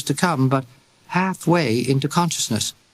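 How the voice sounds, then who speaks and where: The man's pitch is fairly high. His voice is somewhat breathy. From Britain. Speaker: actor. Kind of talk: audiobook narration.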